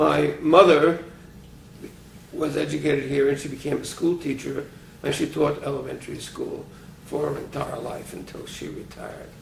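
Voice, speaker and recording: Amid audible room echo, a man with an American accent talks at a moderate pace, with big swings in loudness and long, frequent pauses. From New York City, Brooklyn. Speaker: retired physics professor. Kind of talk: oral history interview. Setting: private apartment.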